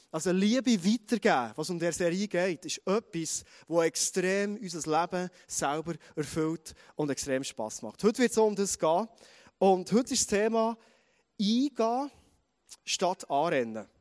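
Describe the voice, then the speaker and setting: With a Bernese accent, a man speaks in an animated tone at a fairly slow pace, his high pitch carried by lively intonation and broken by long, frequent pauses, all in a dry, close sound with no echo. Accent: Swiss German (Bernese). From Switzerland, Bernese Oberland. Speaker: pastor. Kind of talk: sermon.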